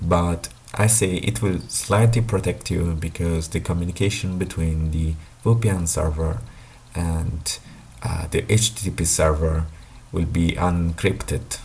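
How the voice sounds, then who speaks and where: A man with a non-native accent speaks at a fairly slow pace in a very deep, low pitch, with ordinary pitch variation. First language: not English. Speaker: tech YouTuber. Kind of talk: explainer monologue. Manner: halting, many fillers.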